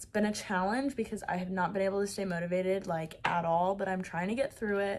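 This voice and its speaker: On a very clean recording with a silent background, a woman talks. Her pitch sits in the medium range. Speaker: vlogger. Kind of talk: vlog.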